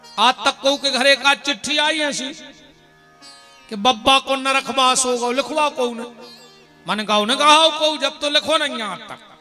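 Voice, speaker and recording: A man with a Bundelkhand accent speaks in a raised, projected voice at an extremely high pitch. Music plays in the background. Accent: Bundeli. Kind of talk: religious discourse to a live audience. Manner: humorous, lively.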